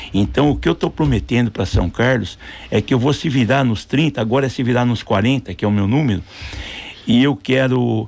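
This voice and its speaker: Speaking at a moderate pace, a man has a medium pitch with ordinary variation and vocal fry. His loudness stays very even. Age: 60s. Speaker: mayoral candidate. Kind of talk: radio interview.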